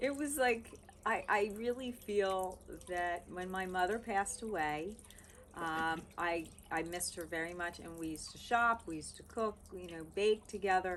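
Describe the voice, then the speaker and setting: An ordinary speaking voice at a moderate pace, with ordinary pitch variation and big swings in loudness. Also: woman, medium pitch for a woman. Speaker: love coach. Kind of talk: interview host talk.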